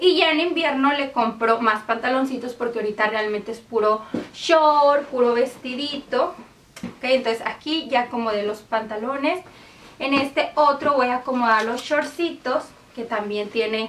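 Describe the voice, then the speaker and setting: A woman with a high pitch speaks over light background noise. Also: ordinary pitch variation, moderate pace. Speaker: home organizing vlogger. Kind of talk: casual tutorial vlog chat. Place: home room.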